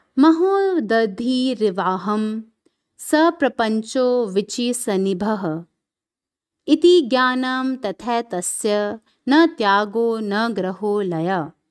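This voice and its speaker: A woman has a plain, everyday voice, fairly high in pitch, with lively intonation. The recording is very clean, with a silent background. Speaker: spiritual reader / satsang speaker. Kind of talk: reading aloud a scripture commentary (Ashtavakra Gita) in Hindi with English lines. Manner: formal, measured, devotional reading.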